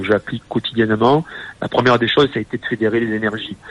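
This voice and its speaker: In a plain, everyday voice, a man speaks at a medium pitch with fairly even intonation and a dry, close sound with no echo. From southern France, Nîmes. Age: 40s. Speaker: entrepreneur and handball club president. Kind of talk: radio interview.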